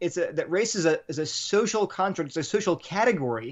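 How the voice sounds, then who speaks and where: Someone with an American accent talks at a fairly quick pace with lively intonation. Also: man. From Delaware, US. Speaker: apologetics writer, former chemistry researcher. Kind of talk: interview on faith and race.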